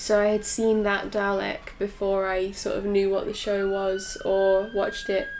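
Amid noticeable background noise, a woman of medium pitch speaks at a fairly slow pace in a flat monotone with hardly any pauses. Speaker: podcast host. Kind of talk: casual chat.

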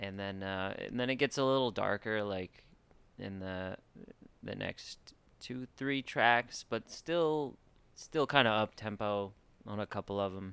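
A man with an American accent speaks at a fairly slow pace and a fairly low pitch, with ordinary pitch variation and long, frequent pauses. The very clean recording has a silent background and a dry, close sound with no echo. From Arizona, Chandler. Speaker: musician. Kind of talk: casual chat. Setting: studio.

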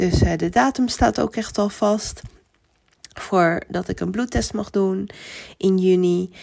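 A woman speaks at a very slow pace with long, frequent pauses. Her pitch sits in the medium range and varies in an ordinary way. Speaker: podcast host. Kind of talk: personal update monologue. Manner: cheerful.

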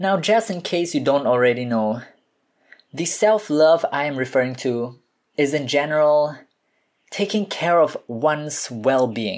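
Lively intonation marks this man's fairly high voice. He speaks at a fairly slow pace. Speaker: podcast host. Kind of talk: solo podcast monologue. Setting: home recording, no studio.

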